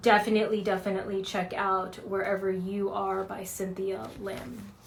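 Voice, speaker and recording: Against noticeable background noise, a woman speaks at a moderate pace and medium pitch with monotone, flat intonation. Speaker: book reviewer, therapist. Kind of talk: casual book review vlog. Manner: casual, many fillers.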